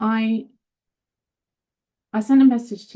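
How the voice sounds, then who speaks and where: Somewhat breathy, this woman's voice has a dark, mellow tone. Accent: British. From UK. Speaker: caller. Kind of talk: personal question. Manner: halting.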